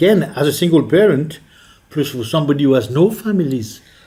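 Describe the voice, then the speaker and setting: A man with a French accent at a moderate pace, his intonation lively. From France. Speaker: politician, member of the Scottish Parliament. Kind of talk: interview answer.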